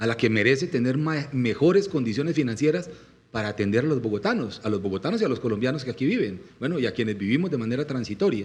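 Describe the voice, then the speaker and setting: Talking at a very fast pace, a man with a medium-pitched, somewhat breathy voice uses lively intonation. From Colombian Llanos (Meta). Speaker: presidential candidate. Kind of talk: political interview talk. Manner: impassioned.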